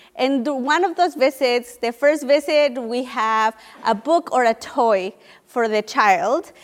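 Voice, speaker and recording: Her pitch high and her pitch variation ordinary, a woman with a Spanish accent speaks at a fairly slow pace. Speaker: nonprofit education program leader. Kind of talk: panel briefing talk. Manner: some hesitations and restarts.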